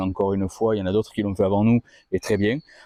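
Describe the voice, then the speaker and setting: A man's dark, mellow voice comes through dry and close with no echo over a quiet background. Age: 30s. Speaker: car workshop presenter. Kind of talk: video presentation of a car. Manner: hesitant, many fillers.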